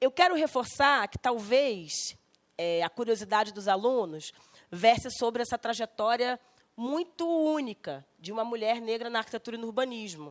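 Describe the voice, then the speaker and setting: In a very clean recording with a silent background, a woman speaks in an unremarkable speaking voice at a fairly high pitch and a moderate pace. Her intonation is lively, and the sound is dry and close with no echo. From Rio de Janeiro, Brazil (West Zone). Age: 40s. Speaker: architect and politician. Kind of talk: guest lecture.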